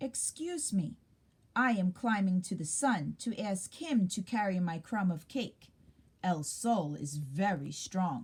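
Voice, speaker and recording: In a put-on character voice, the speaker growls at a fairly slow pace. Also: woman, medium pitch for a woman. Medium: read story.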